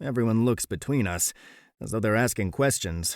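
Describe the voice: This is plain reading aloud. Nothing more is heard than that.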